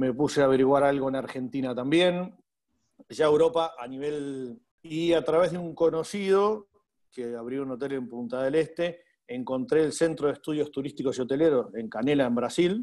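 A man speaks with a Uruguayan accent. His pitch sits fairly high. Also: ordinary pitch variation, moderate pace. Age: 40s. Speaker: hotel manager. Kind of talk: interview.

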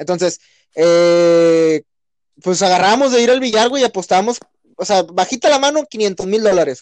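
Speaking at a fairly slow pace, a man with a high voice uses lively intonation and big swings in loudness. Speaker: podcast co-host. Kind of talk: casual chat. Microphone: cheap headset.

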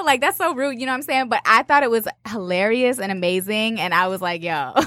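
A woman with an American accent and very wide pitch swings. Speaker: podcast host. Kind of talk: casual chat. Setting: studio.

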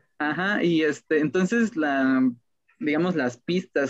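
The pitch rises and falls in an ordinary way. The speaker is a man. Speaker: podcast co-host. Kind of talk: casual chat. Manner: halting.

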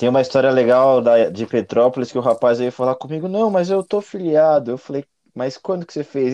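A man with a dark, mellow tone talks at a fairly quick clip with hardly any pauses. His intonation is lively, and the background is quiet. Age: 30s. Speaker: communications director at a mountain bike event. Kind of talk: casual chat.

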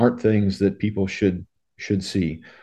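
Against a quiet background, an ordinary speaking voice holds a fairly even intonation. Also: man. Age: 60s. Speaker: retired paramedic and educator. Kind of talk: interview.

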